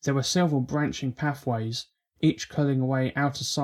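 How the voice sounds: A natural reading voice with fairly even intonation comes through over a quiet background.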